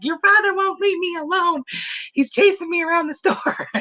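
A put-on character voice at an extremely high pitch. It moves at a moderate pace. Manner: laughing.

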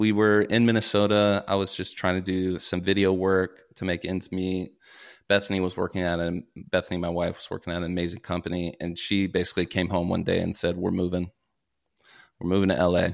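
A man with an American accent talks at a fairly quick pace in a very deep, low voice with monotone, flat intonation. The recording is very clean, the background silent. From US South, Kentucky (Paducah). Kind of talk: casual interview chat.

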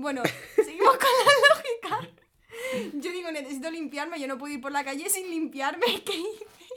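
A woman speaks at a moderate pace in a raised, projected voice, her extremely high pitch making very wide swings and her loudness shifting greatly. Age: 20s. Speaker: influencer. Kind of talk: casual chat.

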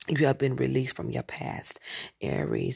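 A moderate pace over a quiet background. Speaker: astrology podcaster / tarot reader. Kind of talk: monologue horoscope reading. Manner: halting, repeats words.

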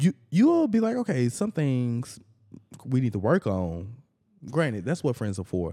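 Dry and close with no echo, this very clean recording with a silent background carries a man's dark, mellow tone at medium pitch with very wide pitch swings. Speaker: podcast co-host. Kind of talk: casual chat. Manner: animated.

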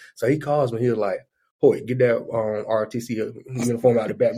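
The voice has a dark, mellow tone and a Southern US accent. It moves at a fairly quick pace. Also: man. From southeast Alabama (Daleville). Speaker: funeral business entrepreneur. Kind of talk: casual chat.

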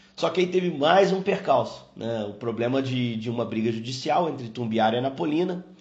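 Over noticeable background noise and audible room echo, a man speaks at a fairly quick pace in a medium pitch, with lively intonation and hardly any pauses. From Brazil, Juiz de Fora (Minas Gerais). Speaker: sports TV commentator. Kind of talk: casual recollection.

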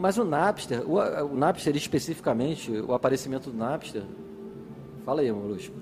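Over noticeable background noise, a man with a fairly high voice talks at a moderate pace, with very wide pitch swings and long, frequent pauses. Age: 40s. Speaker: nightlife promoter. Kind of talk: casual chat.

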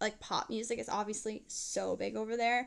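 An unremarkable speaking voice from a woman with an American accent, fairly high in pitch, at a fairly quick pace. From New Jersey. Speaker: pop singer. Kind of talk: casual interview.

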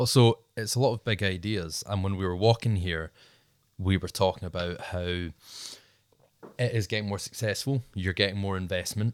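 In a Scottish accent, a man speaks at a moderate pace with a fairly low voice, recorded with a dry, close sound, no echo and a very clean, silent background. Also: ordinary pitch variation. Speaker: podcast host. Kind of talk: casual interview chat.

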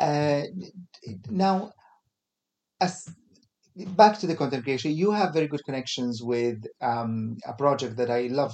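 With an Arabic accent, a man with a fairly high voice speaks in lively intonation, leaving long, frequent pauses. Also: moderate pace. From Kuwait. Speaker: podcast host. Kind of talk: casual interview chat. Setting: studio. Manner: halting, many fillers.

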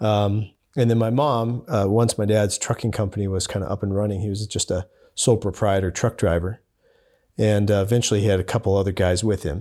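On a very clean recording with a silent background, a man speaks at a fairly quick pace. His fairly low voice has a dark, mellow tone and fairly even intonation. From Montana, Billings. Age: 30s. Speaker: overland filmmaker. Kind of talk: interview conversation.

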